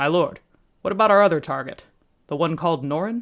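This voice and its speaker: A woman puts on a gruff, growling character voice, fairly low in pitch. She speaks at a very fast pace with lively intonation. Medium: read story. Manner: coarse, rough grammar.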